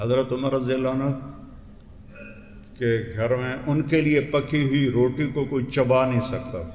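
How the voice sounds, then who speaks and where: The man's voice sits at a medium pitch. Noticeable background noise is present. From Pakistan. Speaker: Islamic scholar and preacher. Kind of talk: religious sermon. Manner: emotional.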